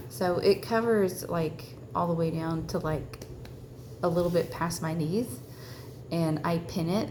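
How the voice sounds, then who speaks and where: A woman with a Southern US accent speaks at a fairly slow pace in a fairly low pitch. Her pitch varies in an ordinary way, and there is audible room echo. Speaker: religious vlogger. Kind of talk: personal testimony. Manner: halting, many fillers.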